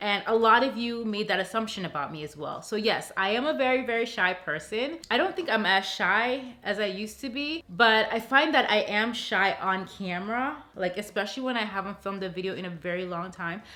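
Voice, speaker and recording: A woman speaks in an animated tone with lively intonation and hardly any pauses. Noticeable background noise runs underneath. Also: fairly high pitch for a woman, fairly quick pace. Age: 30s. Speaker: lifestyle vlogger. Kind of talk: casual Q&A vlog. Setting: alone in a room talking to camera.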